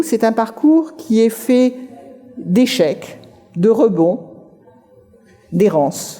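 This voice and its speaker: A woman at a very slow pace with very wide pitch swings, over noticeable background noise. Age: 60s. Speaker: writer giving a career talk. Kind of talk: conference talk.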